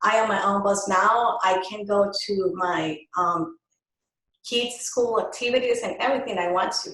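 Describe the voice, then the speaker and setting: The recording has audible room echo. A woman speaks at a medium pitch. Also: ordinary pitch variation, moderate pace. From Colombia. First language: Spanish. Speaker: microblading artist, business owner. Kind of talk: interview.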